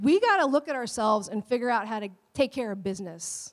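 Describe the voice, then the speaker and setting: The delivery comes at a moderate pace with an animated tone and lively intonation, on a very clean recording with a silent background and a dry, close sound with no echo. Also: woman. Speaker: pastor. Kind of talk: sermon. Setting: church. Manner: loud.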